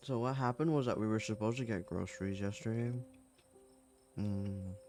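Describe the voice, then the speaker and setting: A soft-spoken man with a fairly low pitch and ordinary pitch variation talks at a fairly quick pace over music in the background. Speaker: streamer. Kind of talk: casual talk to camera.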